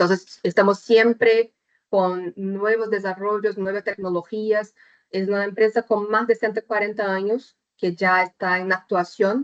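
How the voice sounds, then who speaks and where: A woman with a Brazilian accent speaks at a medium pitch in a flat, monotone intonation. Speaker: chemical engineer, technical presenter. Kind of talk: webinar presentation. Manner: deliberately slow; hesitant, many fillers.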